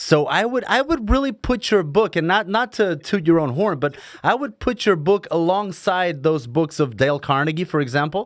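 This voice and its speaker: At a moderate pace with hardly any pauses, a man speaks in a high pitch with very wide pitch swings. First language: Portuguese. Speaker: podcast host, stuntman. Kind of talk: casual interview. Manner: stumbling, halting.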